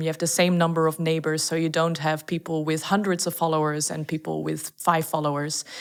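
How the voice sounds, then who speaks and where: This woman talks very fast in a Dutch accent. Her pitch sits fairly low. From Netherlands. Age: 20s. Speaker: startup founder. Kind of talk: podcast interview.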